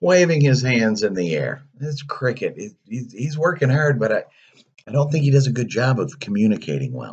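Lively intonation in a natural voice reading aloud.

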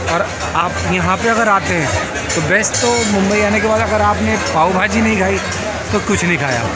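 Fairly slow speech over loud background music. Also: man. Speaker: food vlogger. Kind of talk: casual vlog chat and interview. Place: market. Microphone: phone near.

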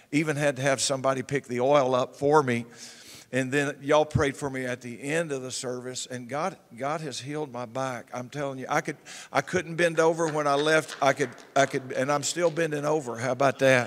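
This man has a Southern US accent and a fairly high pitch. He talks at a fairly quick pace. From US South. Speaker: pastor. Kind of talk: church announcements. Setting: church. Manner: animated. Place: church. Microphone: handheld.

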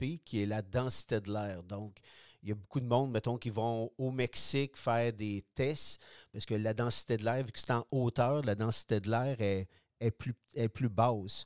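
A man with a Quebec accent talks at a fairly slow pace in a medium pitch, his intonation fairly even. The sound is dry and close with no echo, and the recording is very clean with a silent background. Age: 60s. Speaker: product designer, retired cyclist. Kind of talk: interview. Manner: halting.

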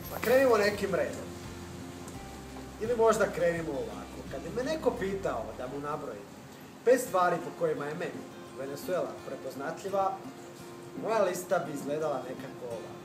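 A man's high-pitched voice at a moderate pace, with long, frequent pauses and clear music in the background. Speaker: travel vlogger. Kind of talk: travel narration to camera. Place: garden. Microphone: camera far.

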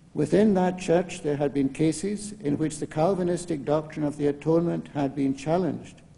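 A man speaks at a moderate pace with ordinary pitch variation. His dark, mellow tone carries vocal fry. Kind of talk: lecture. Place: hall. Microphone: podium.

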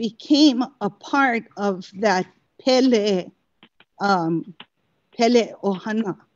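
A woman speaks very slowly with a Hawaiian accent. Her pitch sits in the middle and varies in an ordinary way. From Hawaii, Lower Puna. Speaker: cultural practitioner. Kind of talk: testimony. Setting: video call. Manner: halting.

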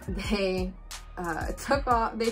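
Clear background music behind a woman speaking. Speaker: vlogger. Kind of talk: casual vlog chat. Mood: amused, incredulous storytelling. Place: home room.

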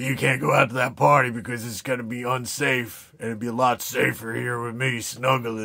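Raspy and at medium pitch, a man does a put-on character voice at a fairly quick pace. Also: fairly even intonation, hardly any pauses. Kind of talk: casual vlog chat. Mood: playful, teasing.

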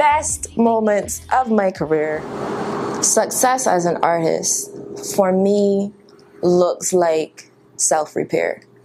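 With a Barbadian accent and lively intonation, a woman speaks at a very slow pace with long, frequent pauses over noticeable background noise. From Barbados. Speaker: spoken word poet. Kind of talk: interview answer. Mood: warm, reflective. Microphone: lapel.

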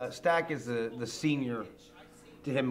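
Over light background noise, a man talks fairly quickly, his pitch moving by an ordinary amount. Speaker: stage actor. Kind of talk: interview answer. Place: hall.

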